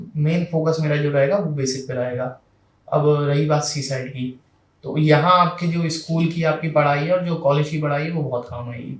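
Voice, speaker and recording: A man talks at a fairly high pitch, his voice somewhat breathy. His intonation stays fairly even. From Madhya Pradesh, India. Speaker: civil services exam topper. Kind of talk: interview. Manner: hesitant fillers.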